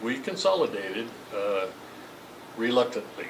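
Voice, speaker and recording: The voice shows ordinary pitch variation, with noticeable background noise and audible room echo. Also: man. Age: 80s+. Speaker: Masonic lodge treasurer and longtime member. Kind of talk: interview. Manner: halting, many fillers and repeats.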